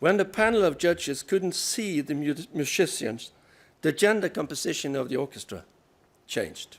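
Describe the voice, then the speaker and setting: With a Norwegian accent and lively intonation, a man speaks at a high pitch in a very clean recording with a silent background. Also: moderate pace. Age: 60s. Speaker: research funding agency director. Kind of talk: keynote speech.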